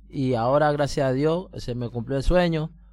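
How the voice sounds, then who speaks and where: A man with a dark, mellow tone speaks fairly slowly at a medium pitch, his pitch varying in an ordinary way. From Colombia, Pacific coast (Buenaventura). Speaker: migrant guest on community radio. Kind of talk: testimony. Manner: halting.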